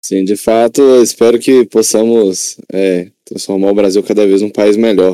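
A dark, mellow tone at a fairly slow pace, with hardly any pauses and fairly even intonation. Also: man, fairly low pitch for a man. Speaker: student podcast host. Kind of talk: interview.

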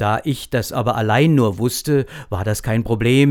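A man talks in a plain, everyday voice at a medium pitch. The recording is very clean, with a silent background. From Lower Franconia, Germany (Großwallstadt). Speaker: actor. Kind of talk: casual interview.

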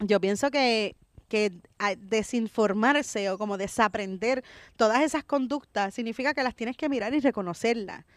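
A woman with a fairly high pitch and ordinary pitch variation talks at a moderate pace in an ordinary speaking voice. The recording is very clean, with a silent background and a dry, close sound with no echo. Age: 40s. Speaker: comedian. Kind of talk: casual chat. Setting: outdoors in a park.

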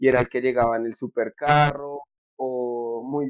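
With an unremarkable speaking voice, a man talks at a medium pitch and keeps his intonation fairly even. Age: 20s. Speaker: economics student and app entrepreneur. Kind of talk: casual interview.

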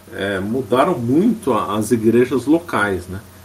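In an echoing room, a man with a medium pitch and lively intonation speaks at a fairly slow pace. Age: 50s. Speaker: history lecturer, lawyer by training. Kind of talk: lecture. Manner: frequent fillers and hesitations.

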